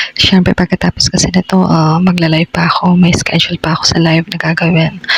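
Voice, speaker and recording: A woman whispers fairly quickly while noticeable background noise carries on around her. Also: dry, close sound with no echo. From Philippines. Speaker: vlogger. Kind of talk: casual vlog voiceover. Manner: whispered.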